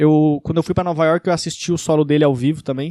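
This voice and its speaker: A man speaks at a very fast pace with a slight gaúcho accent and fairly even intonation. The sound is dry and close with no echo, in a very clean recording over a silent background. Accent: slight gaúcho accent, uses 'tu'. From Rio Grande do Sul, southern Brazil. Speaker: stand-up comedian. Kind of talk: casual Q&A video. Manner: casual, some stammering.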